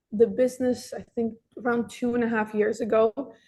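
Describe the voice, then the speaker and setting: At a moderate pace, a woman speaks in a flat monotone, her fairly high voice carrying a dark, mellow tone. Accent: Russian. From Russia (Moscow), moved to Miami at nine. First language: Russian. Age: 20s. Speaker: dessert shop manager. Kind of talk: career talk interview. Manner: casual, some hesitations.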